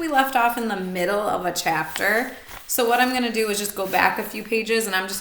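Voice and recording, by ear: The pitch shows ordinary variation. The reading aloud is in a natural voice.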